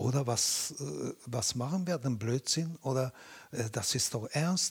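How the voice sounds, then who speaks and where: With a Japanese accent, a man speaks very slowly at a medium pitch, his voice somewhat breathy and his pitch varying in an ordinary way. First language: Japanese (speaking German). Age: 70s. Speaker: Butoh dancer. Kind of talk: interview. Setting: at his home. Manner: halting.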